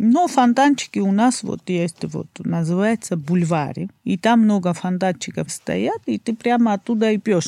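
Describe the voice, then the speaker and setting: In a Georgian accent, a woman with a dark, mellow tone and medium pitch speaks at a fairly slow pace with lively intonation, the sound dry and close with no echo. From Georgia, Batumi. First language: Georgian (speaking Russian). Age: 30s. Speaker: guest from Georgia. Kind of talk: casual interview chat.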